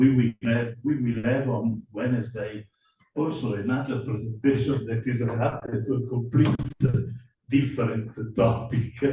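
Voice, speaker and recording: A man with an Italian accent speaks at a fairly slow pace in a medium pitch, his dark, mellow tone somewhat breathy. His intonation is monotone and flat, and room echo is audible. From Italy. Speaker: academic conference speaker. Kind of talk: lecture. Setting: conference hall with microphone. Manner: halting, with hesitations.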